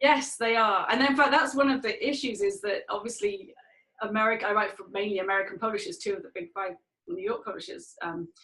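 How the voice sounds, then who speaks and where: Swinging very widely in pitch, a woman speaks in a fairly high voice. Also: fairly quick pace. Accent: English. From England. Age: 40s. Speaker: author. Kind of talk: interview.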